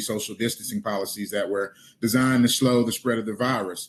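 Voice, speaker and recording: A man at a medium pitch and a very fast pace, with fairly even intonation. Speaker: city council candidate. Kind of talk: candidate forum answer.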